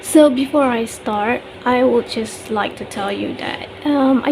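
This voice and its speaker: Noticeable background noise accompanies a woman speaking at a very slow pace. Her voice is high in pitch, with ordinary variation. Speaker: book flip-through video maker. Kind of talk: casual talk to camera.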